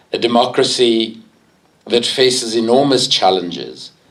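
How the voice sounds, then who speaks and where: A man's fairly even intonation in audible room echo. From South Africa. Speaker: campaigner, public speaker. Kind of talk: public talk. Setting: public meeting hall with audience.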